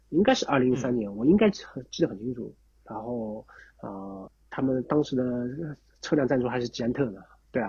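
A medium-pitched man's voice, dark, mellow and somewhat breathy, at a fairly quick pace with long, frequent pauses, big swings in loudness and ordinary pitch variation. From Shanghai, China. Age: 30s. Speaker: former pro cyclist and cycling coach. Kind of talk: interview conversation. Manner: halting, many fillers and repetitions.

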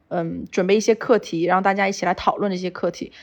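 Intonation here is fairly even. It is an ordinary speaking voice. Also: woman, quiet background. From Sichuan, China. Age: 30s. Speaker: outdoor lifestyle brand founder. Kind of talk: interview conversation. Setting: remote call.

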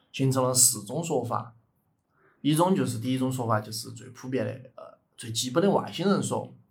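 Speaking with a Sichuan accent and vocal fry, a man talks at a moderate pace with ordinary pitch variation and big swings in loudness, his voice carrying audible room echo. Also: medium pitch for a man. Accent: Sichuan (Chengdu) dialect Mandarin. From Chengdu, Sichuan, China. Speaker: podcast co-host. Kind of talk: casual chat with storytelling.

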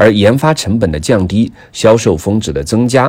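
The man's pitch rises and falls very widely. His pace is moderate. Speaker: industry news commentator, podcast producer. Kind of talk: scripted news reading. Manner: formal.

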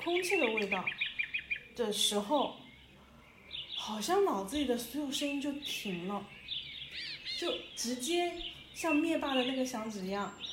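Amid noticeable background noise and audible room echo, a woman with a high pitch speaks at a fairly slow pace with very wide pitch swings. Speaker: podcast host. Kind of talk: solo reflective monologue. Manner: hesitant, many fillers; conversational, intimate.

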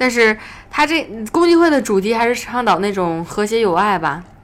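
Noticeable background noise runs under the audio. Over it, a woman talks fairly quickly. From Northeast China. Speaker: voice actor. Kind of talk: casual chat.

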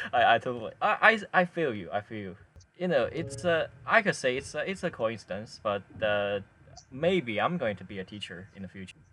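A man with a Chinese accent at medium pitch, his bright, sharp tone marked by very wide pitch swings, big swings in loudness and a fairly quick pace. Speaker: podcast host. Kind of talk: casual chat. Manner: halting.

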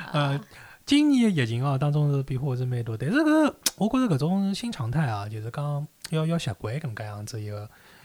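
Somewhat breathy and fairly high-pitched, a man speaks at a fairly quick pace with lively intonation. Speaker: podcast host. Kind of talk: casual chat.

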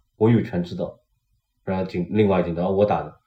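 Somewhat breathy with a dark, mellow tone, a man speaks at a fairly quick pace and fairly low pitch. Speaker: painter. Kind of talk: casual chat. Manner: animated.

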